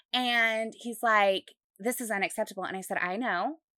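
On a very clean recording with a silent background, a woman speaks with an American accent at a moderate pace. Her tone is bright and sharp, her pitch fairly high with ordinary variation, and the sound is dry and close with no echo. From Utah. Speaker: real estate agent, podcast co-host. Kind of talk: casual chat.

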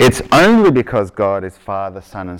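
A man with an Australian accent at a moderate pace, in a very clean recording with a silent background. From Victoria, Australia; grew up in Argentina. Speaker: preacher giving a sermon. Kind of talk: conversational sermon, casual asides.

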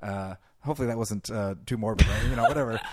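A man talks at a fairly quick pace in an ordinary speaking voice. His pitch is medium with ordinary pitch variation, on a very clean recording with a silent background. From California. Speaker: podcast host. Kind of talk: casual interview chat.

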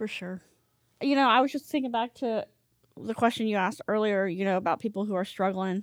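Talking at a fairly quick pace, a woman with an American accent has a normal speaking voice, fairly high in pitch with ordinary pitch variation, and a dry, close sound with no echo. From US, Northern Virginia. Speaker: church member sharing testimony. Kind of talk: testimony. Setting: home.

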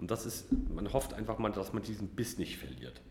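There is noticeable background noise around this speaker. The man's voice carries audible room echo. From Mecklenburg-Vorpommern, northeastern Germany. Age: 30s. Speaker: criminal defence lawyer. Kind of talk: interview.

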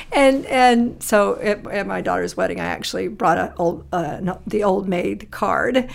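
A woman talks fairly slowly, and noticeable noise can be heard behind her. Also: hardly any pauses. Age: 50s. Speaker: church deacon. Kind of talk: casual chat.

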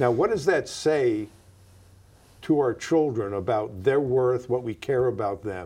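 A man with an American accent speaks at a medium pitch in a dark, mellow tone, his intonation lively and broken by long, frequent pauses. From New York, US. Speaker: community organizer and discussion moderator. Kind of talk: moderated conversation across generations, recorded live.

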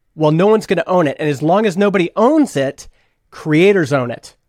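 Fairly quick and in a normal speaking voice, a man talks with ordinary pitch variation in a dry, close sound with no echo. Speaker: podcast hosting company founder. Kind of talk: casual chat.

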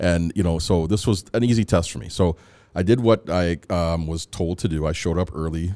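Speaking with a western Canadian accent, a man uses a very deep, low pitch, a moderate pace and ordinary pitch variation. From Canada, Edmonton, Alberta (born in Antigua, moved at 3-4). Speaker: psychologist. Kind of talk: interview.

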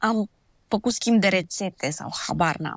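A woman's voice comes across with a dry, close sound with no echo. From Transylvania, Romania (Sibiu). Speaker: blogger and dentist. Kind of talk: interview conversation. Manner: casual conversational.

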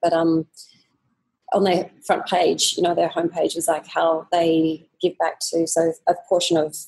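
Monotone and flat, a woman with an Australian accent speaks at a fairly low pitch in a dark, mellow tone, the sound dry and close with no echo. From Australia, Sydney. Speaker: fitness business owner. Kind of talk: interview.

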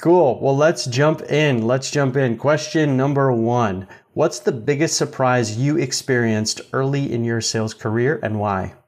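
A man with an ordinary speaking voice, medium pitch and ordinary pitch variation, at a fairly slow pace with hardly any pauses, against a quiet background. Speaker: podcast host. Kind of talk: casual interview.

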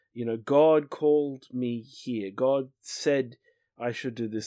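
A man's dark, mellow voice at medium pitch comes through on a very clean recording with a silent background. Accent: Australian. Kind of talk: casual discussion of a Bible study lesson. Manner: dry, wry.

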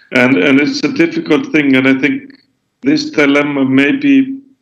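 The speaker is a man with an Icelandic accent. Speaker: author and environmental activist. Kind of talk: interview. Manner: halting, many fillers and repetitions.

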